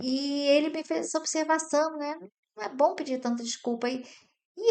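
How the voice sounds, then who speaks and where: The background is quiet. A woman speaks at a moderate pace with ordinary pitch variation. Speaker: board member and business commentator. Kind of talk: solo talk commenting on an article. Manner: soft-spoken, doesn't raise her voice.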